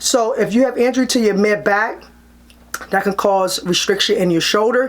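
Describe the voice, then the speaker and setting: A woman at a medium pitch with ordinary pitch variation, amid noticeable background noise. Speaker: chiropractor. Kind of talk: tutorial. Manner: fast; casual, conversational.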